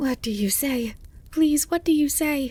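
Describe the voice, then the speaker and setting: The voice is a put-on character voice with a high pitch. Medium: read story. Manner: excitable, fretful.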